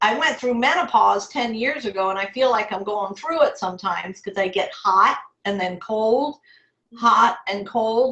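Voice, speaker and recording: Ordinary pitch variation and a fairly high pitch in a woman's voice, a normal speaking voice. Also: moderate pace. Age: 60s. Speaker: stroke survivor and entrepreneur. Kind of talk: interview testimony.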